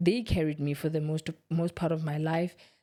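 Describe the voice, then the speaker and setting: A woman speaks at a moderate pace with a fairly low pitch. The recording is very clean, with a silent background. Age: 20s. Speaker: vlogger. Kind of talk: casual personal talk to camera. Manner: reflective, halting.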